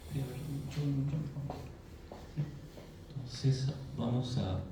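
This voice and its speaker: Speech at a very slow pace and with fairly even intonation comes through audible room echo and noticeable background noise. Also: man. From Peru, Arequipa. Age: 40s. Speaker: presenter at a commemorative event. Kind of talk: presentation lecture to an audience. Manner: hesitant, frequent fillers and tag questions.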